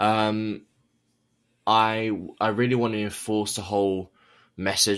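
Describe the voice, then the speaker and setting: A man with a southern English accent and a fairly low pitch is heard on a very clean recording with a silent background. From England, near London. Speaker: author and abuse survivor activist. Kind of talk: interview testimony.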